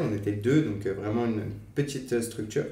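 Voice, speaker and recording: A man is speaking. The room echo is audible. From western France, Angers. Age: 20s. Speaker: nonprofit training manager. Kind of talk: podcast interview. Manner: hesitant, many fillers.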